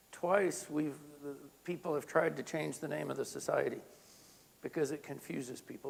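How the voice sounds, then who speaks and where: The man's voice sits at a fairly high pitch with vocal fry. His pitch variation is ordinary. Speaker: health physicist. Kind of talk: lecture. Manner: deliberately slowed.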